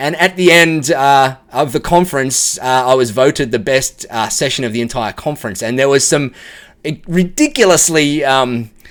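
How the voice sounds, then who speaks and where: Speaking at a moderate pace, a man with an Australian accent uses a fairly high pitch and ordinary pitch variation. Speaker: tech professional giving client testimonial. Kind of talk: video testimonial. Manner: casual, many filler words.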